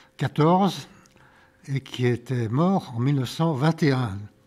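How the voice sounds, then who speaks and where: Very slowly, a man talks with ordinary variation in his pitch. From France, Lyon area (Vaugneray). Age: 80s+. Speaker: retired local official recounting village history. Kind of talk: interview testimony. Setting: town council chamber. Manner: halting.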